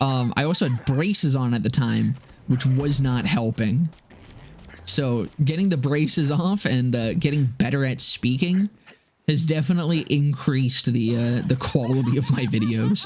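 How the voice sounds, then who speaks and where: Quiet and very even in loudness, the voice moves at a moderate pace with ordinary pitch variation over noticeable background noise. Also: man, medium pitch for a man. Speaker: streamer and gaming YouTuber. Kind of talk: casual live stream chat. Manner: quiet, low-volume speaking; rambling, filler-heavy.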